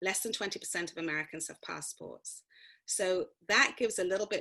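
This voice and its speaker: A woman with a London accent speaks at a medium pitch. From London, England. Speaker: actor and prison activist. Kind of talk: interview answer.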